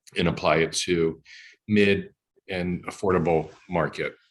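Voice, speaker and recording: A man speaks at a very deep, low pitch in a flat, monotone way. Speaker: senior living industry professional. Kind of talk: panel discussion webinar. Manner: halting, many fillers.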